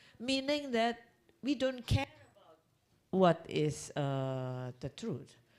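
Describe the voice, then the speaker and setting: A woman with an Indonesian accent speaks with very wide pitch swings. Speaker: conference speaker. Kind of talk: lecture. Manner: halting.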